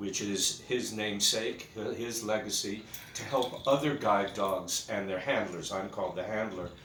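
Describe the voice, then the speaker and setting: A man speaks at a moderate pace in a fairly low pitch, with fairly even intonation. Noticeable background noise and audible room echo fill the recording. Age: 60s. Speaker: guide dog handler. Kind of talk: personal video message. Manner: halting, many fillers.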